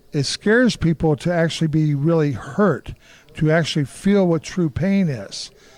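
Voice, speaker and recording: With a Midwestern American accent, a man talks at a fairly high pitch and ordinary pitch variation. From Kansas City, Kansas. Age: 60s. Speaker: martial artist and former boxer. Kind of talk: interview. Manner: animated.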